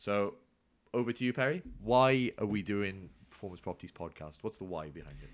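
A man talks at a fairly quick pace with a fairly low pitch and lively intonation, in a plain, everyday voice. The recording is very clean, with a silent background. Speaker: podcast co-host. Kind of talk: scripted-style podcast intro and interview.

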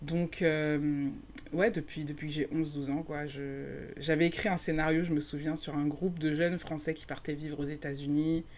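A woman with a very deep, low voice speaks fairly slowly in a monotone, flat intonation. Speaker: podcast host. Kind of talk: personal storytelling. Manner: hesitant, many fillers.

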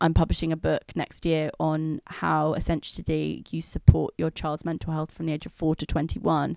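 On a very clean recording with a silent background and a dry, close sound with no echo, a woman with a London accent speaks at a moderate pace with hardly any pauses and big swings in loudness. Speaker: editor and writer. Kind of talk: casual interview. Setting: recorded on location.

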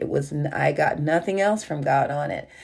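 A woman speaks at a moderate pace in a very deep, low pitch with vocal fry. The recording is very clean, with a silent background. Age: 60s. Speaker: online minister. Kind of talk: devotional sermon.

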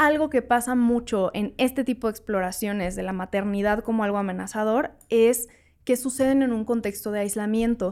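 A woman's an ordinary speaking voice, fairly high in pitch, at a moderate pace with ordinary pitch variation, on a very clean recording against a silent background. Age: 20s. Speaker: sex educator. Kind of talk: casual chat.

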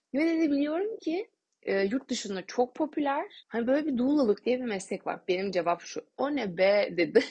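A woman talks at a moderate pace in an animated tone, her pitch swinging very widely. Her voice is somewhat breathy. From Turkey, Bursa. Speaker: doula and podcaster. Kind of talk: solo podcast monologue. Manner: animated, laughing often.

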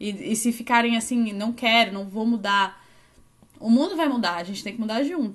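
A woman's voice comes through somewhat breathy. She speaks at a moderate speed. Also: fairly high pitch for a woman, ordinary pitch variation. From southern Brazil, Florianópolis. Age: 20s. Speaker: 3D fashion designer. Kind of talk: interview.

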